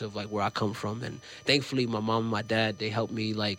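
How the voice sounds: Loud and at a moderate pace, a man speaks with a fairly low pitch and a fairly bright tone.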